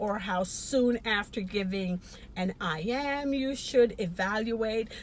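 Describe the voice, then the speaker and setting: A woman's fairly high voice, varying in pitch in an ordinary way, comes through noticeable background noise. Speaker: nursing educator. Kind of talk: educational talk to camera.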